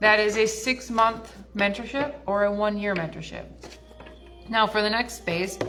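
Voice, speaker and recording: A woman speaks at a medium pitch with fairly even intonation. Music plays behind her, and the room echo is audible. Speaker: spiritual teacher and mentor. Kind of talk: casual livestream talk. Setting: live stream at a wellness center.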